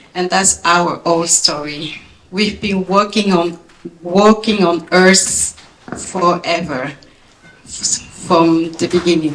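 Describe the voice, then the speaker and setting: Over noticeable background noise, a woman with a strong French accent speaks at a very slow pace, with a fairly low pitch and fairly even intonation. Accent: big French. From France. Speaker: former Olympic athlete, speaker. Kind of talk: speech. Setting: gala event with audience.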